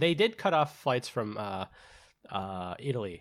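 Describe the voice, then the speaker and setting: A man speaks with an American accent. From United States. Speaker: podcast co-host. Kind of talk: casual chat. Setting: remote call.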